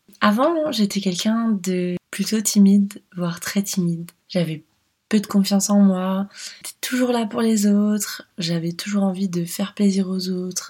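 This woman's voice is somewhat breathy, at a medium pitch with fairly even intonation. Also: fairly slow pace. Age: 30s. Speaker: life coach and podcast host. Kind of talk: solo podcast monologue, personal story.

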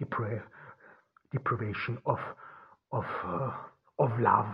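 A man with a German accent talks at a very slow pace in a medium pitch, somewhat breathy, with fairly even intonation. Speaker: podcast host. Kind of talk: philosophical monologue. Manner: halting, many fillers.

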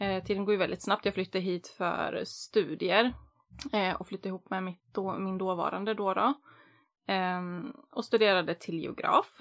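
On a very clean recording with a silent background, a woman with an unremarkable speaking voice talks at medium pitch and a moderate pace, her intonation fairly even. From Västerås, Sweden. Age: 30s. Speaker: podcast host. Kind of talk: casual chat.

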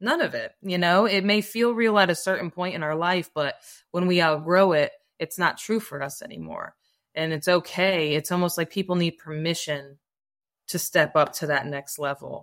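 Very clean and free of background sound, this recording has a woman speaking in a normal speaking voice at a fairly low pitch. Her pace is moderate, with ordinary pitch variation. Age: 40s. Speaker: holistic life coach. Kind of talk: casual chat.

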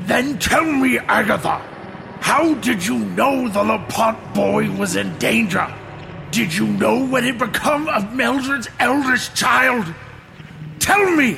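A man uses a put-on character voice, raised and projected. Clear background noise runs behind him. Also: fairly slow pace. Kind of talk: formal, archaic. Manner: angry, demanding.

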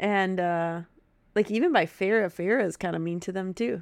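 A woman with a Wisconsin accent speaks at a moderate pace in an animated tone. Her pitch is medium, with ordinary variation. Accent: Upper Midwest US (Wisconsin). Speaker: podcast co-host. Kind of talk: casual chat. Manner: giggly, animated.

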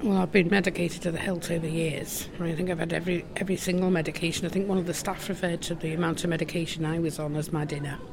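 A woman with a fairly low pitch speaks at a very fast pace with hardly any pauses and monotone, flat intonation. Noticeable background noise is present. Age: 60s. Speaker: mental health lived-experience advocate. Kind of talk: interview. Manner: hesitant, frequent ums.

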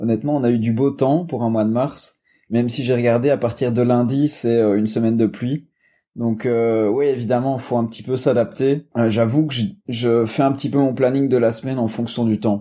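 A man with a slight Belgian accent speaks at a moderate pace with a dark, mellow tone. His intonation is fairly even over a quiet background. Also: medium pitch for a man. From Belgium. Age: 20s. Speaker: sports nutrition entrepreneur. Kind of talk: casual interview. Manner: hesitant, many fillers.

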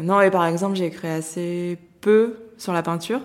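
A woman with a fairly low pitch and flat, monotone intonation. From France, Lyon. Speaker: art critic. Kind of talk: interview. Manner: hesitant, many fillers.

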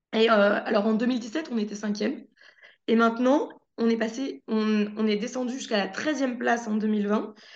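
A woman with a fairly high pitch talks at a moderate pace with fairly even intonation. Audible room echo surrounds her voice. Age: 20s. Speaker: TV journalist. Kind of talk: casual chat.

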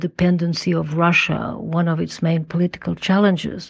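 A woman speaks in a Portuguese accent at a fairly low pitch. Her pace is moderate. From Portugal. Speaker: former government minister, think tank council member. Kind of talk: recorded listener question.

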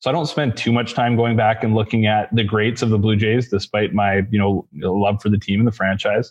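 A man speaks at a fairly quick pace, his pitch fairly low and his tone slightly mellow. There is little pitch movement.

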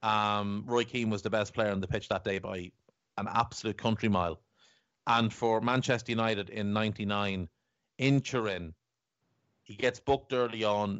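With an Irish accent, a man talks at a moderate pace with long, frequent pauses, his fairly low voice held to fairly even intonation. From Ireland. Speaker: football podcast host. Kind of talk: casual chat.

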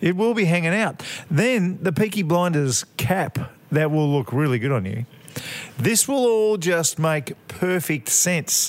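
A man with an Australian accent, high pitch, lively intonation, very even loudness and a fairly slow pace. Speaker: podcast co-host. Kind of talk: casual chat. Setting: pub, next to an open window.

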